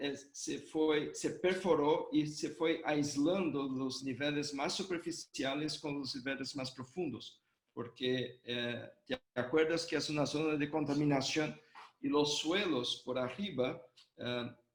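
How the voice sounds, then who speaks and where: Speaking at a very slow pace, a man with a Brazilian accent has a fairly high pitch and fairly even intonation. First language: Portuguese (speaking Spanish). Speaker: hydrogeology professor, invited lecturer. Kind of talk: Q&A answer. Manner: halting, many fillers.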